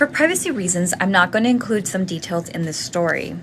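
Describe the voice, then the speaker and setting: A woman uses a normal speaking voice at a medium pitch and a fairly quick pace. Her pitch variation is ordinary. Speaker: ghost story hostess. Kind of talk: reading a scary story aloud.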